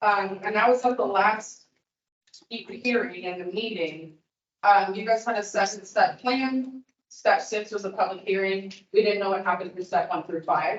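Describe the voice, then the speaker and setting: Moderate pace from a woman, her pitch medium and its variation ordinary. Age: 20s. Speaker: public commenter. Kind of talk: public comment at hearing. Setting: public meeting hall with audience. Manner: loud.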